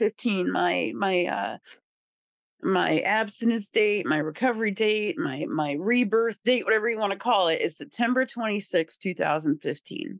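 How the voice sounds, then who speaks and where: In an American accent, a woman with an ordinary speaking voice talks at a moderate pace, her fairly high pitch carried by lively intonation. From Indiana, rural small town. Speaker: person in recovery, peer recovery worker. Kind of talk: recovery testimony interview.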